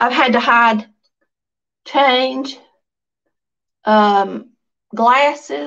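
In a Southern US accent, a woman speaks very slowly in a high voice, with long, frequent pauses against a quiet background. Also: lively intonation. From US South. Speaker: livestream vlogger. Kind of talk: casual chat. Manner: chatty, informal. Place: home room. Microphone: phone near.

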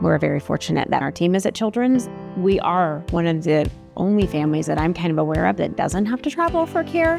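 A woman's fairly quick speech over clear background music, the sound dry with no echo. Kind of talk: interview answer. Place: home room. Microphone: lapel.

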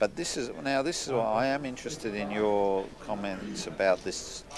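Lively in intonation, a man with an Australian accent speaks at a fairly slow pace and a fairly low pitch. Noticeable background noise is present. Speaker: sports commentator. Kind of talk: live sports commentary. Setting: billiards club.

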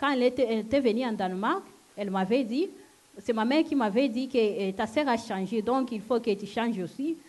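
At a moderate pace, a woman with a non-native accent talks in a fairly high pitch with ordinary pitch variation. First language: not French (speaking French). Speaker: church member giving testimony. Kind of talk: testimony. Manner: halting. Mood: earnest, emotional. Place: hall. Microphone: handheld.

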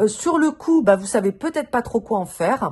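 This woman's high voice moves with lively intonation. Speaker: tarot reader. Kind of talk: tarot reading video. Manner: casual, many hesitations.

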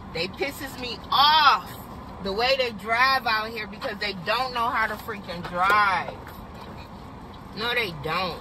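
Speech comes at a very slow pace with long, frequent pauses. Noticeable background noise sits under a dry sound with no echo. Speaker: driver vlogger. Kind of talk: casual vlog chat. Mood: annoyed at other drivers. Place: car. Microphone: phone near.

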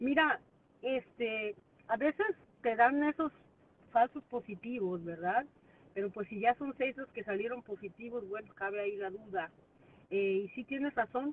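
With ordinary pitch variation and long, frequent pauses, a woman talks in a dry sound with no echo. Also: fairly slow pace. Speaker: vlogger answering viewer comments. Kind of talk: casual vlog chat, commentary. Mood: calm, opinionated. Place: car. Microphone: phone near.

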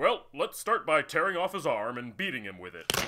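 Over clear background noise, a man talks at a fairly quick pace and a fairly high pitch. His pitch swings very widely, and his loudness varies greatly. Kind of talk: heroic announcer voice. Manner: cheerful, mock-heroic, cruel.

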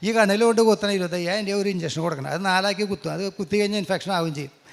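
A man speaks with a high voice. His pitch varies in an ordinary way. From Kerala, Angamaly area. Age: 60s. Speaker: real estate agent giving testimony. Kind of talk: religious testimony.

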